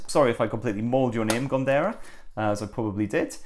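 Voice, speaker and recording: A man is speaking. He talks with a northern English accent. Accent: northern English twang. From northern England. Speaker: tech reviewer. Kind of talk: unboxing review.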